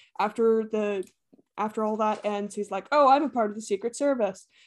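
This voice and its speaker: A woman speaks in a plain, everyday voice with fairly high pitch. Her intonation is fairly even, and the recording is very clean with a silent background. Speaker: podcast host. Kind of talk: casual chat.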